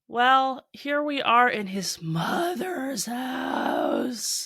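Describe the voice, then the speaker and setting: A woman's raised, projected voice, high in pitch, with a bright, sharp tone and lively intonation. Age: 30s. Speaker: podcast host. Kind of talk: reading aloud with commentary; casual chat. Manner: animated.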